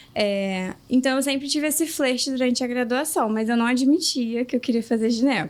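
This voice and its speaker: A moderate pace with hardly any pauses and ordinary pitch variation. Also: woman, high pitch for a woman. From Rio de Janeiro state interior (Itaperuna). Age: 20s. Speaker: medical resident in gynecology. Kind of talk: podcast interview.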